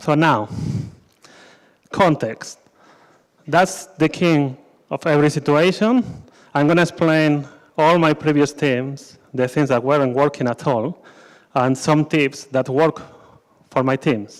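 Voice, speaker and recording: A man's fairly high voice with a Spanish accent, very even loudness and ordinary pitch variation, fairly slow with long, frequent pauses, in a very clean recording with a silent background. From Spain. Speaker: scrum master, conference speaker. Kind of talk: conference talk. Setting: stage with audience.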